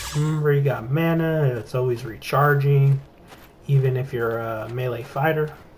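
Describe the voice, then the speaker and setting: A man talks at a moderate pace in a fairly high voice with fairly even intonation, and the room echo is audible. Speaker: gaming youtuber. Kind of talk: gameplay tutorial. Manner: casual, profane.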